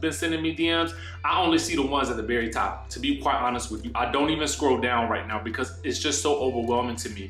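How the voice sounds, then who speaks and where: A man talks at a fairly quick pace, with audible room echo and faint music playing in the background. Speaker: content creator. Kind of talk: casual vlog chat. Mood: candid, a bit stressed. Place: home room. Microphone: earbuds.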